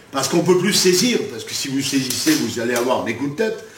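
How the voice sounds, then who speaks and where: Lively intonation comes through over noticeable background noise and audible room echo. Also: man. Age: 60s. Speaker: martial arts grandmaster. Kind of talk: interview. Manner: halting.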